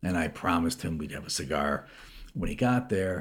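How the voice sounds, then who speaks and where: Somewhat breathy and very deep and low in pitch, a man with an American accent speaks at a fairly quick pace with ordinary pitch variation. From US Midwest, Chicago suburbs. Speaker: businessman and investor. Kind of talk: interview. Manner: halting, with frequent repetitions.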